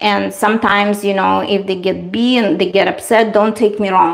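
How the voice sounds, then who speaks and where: With a Russian accent, a woman speaks at a moderate pace and medium pitch over noticeable background noise. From Eastern Europe. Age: 40s. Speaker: beauty livestreamer. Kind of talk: casual livestream chat.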